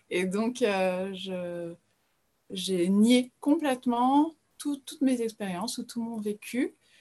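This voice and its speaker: Somewhat breathy, the voice has a dark, mellow tone and ordinary pitch variation. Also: woman. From France. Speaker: spiritual guide. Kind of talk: interview podcast. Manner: hesitant, with many fillers and repetitions.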